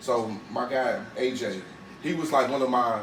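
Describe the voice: A man's medium-pitched voice with ordinary pitch variation, a moderate pace, a fairly bright tone and audible room echo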